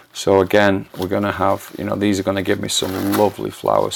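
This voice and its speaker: Noticeable background noise is present. Over it, a man talks fairly quickly. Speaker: plant collector and channel host. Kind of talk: unboxing tutorial. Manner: hesitant, many fillers.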